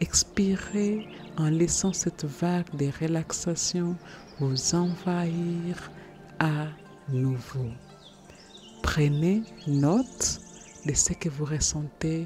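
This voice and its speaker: A woman's very deep, low voice, with ordinary pitch variation, a very slow pace and long, frequent pauses, over music in the background. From Germany-based. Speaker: meditation guide, personal transformation coach. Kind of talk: guided meditation. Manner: soothing, slow.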